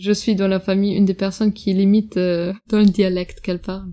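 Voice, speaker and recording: A woman with a German accent speaks at a medium pitch in a monotone, flat intonation. Her tone is dark and mellow, on a very clean recording with a silent background. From Germany (Bavaria), Russian-German family. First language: German (speaking French). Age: young. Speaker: podcast guest recounting family history. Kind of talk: personal family testimony. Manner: hesitant, many fillers.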